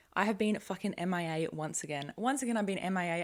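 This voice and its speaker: A woman mumbles in an animated tone. Her intonation is lively. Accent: Australian. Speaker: podcast host. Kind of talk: casual monologue. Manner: mumbling; fast, animated.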